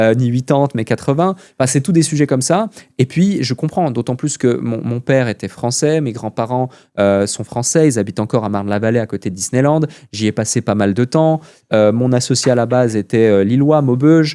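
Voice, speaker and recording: Dry and close with no echo, the sound carries a man's dark, mellow tone. It is a very clean recording with a silent background. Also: medium pitch for a man, ordinary pitch variation, fairly quick pace. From Switzerland. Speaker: entrepreneur. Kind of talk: podcast interview.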